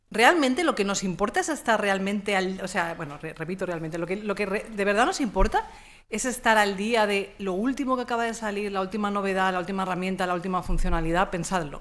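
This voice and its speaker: In a room with audible echo, a woman speaks at a medium pitch in an animated tone. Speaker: communication consultant and trainer. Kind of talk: conference talk. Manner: fast.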